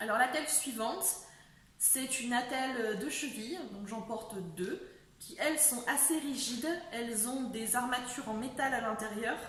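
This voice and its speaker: This woman's voice sits high in pitch. She speaks at a fairly slow pace over noticeable background noise. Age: 20s. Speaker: person living with a chronic illness. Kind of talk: casual talk to camera.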